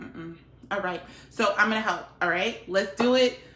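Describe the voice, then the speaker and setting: With an American accent, a woman speaks with ordinary pitch variation over noticeable background noise. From Liberia. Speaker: cooking vlogger. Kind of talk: cooking tutorial. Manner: casual, chatty.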